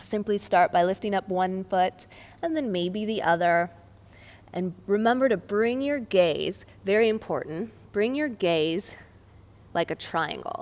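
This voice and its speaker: A woman talks at a fairly slow pace with medium pitch. She has a plain, everyday voice and lively intonation. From United States. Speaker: yoga teacher. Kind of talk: tutorial. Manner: calm.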